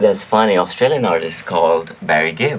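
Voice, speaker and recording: A man with a Pakistani accent speaks at a moderate pace. Noticeable background noise runs under his voice. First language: Urdu. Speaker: singer-songwriter and music producer. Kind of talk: radio interview. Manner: repetitive, self-correcting.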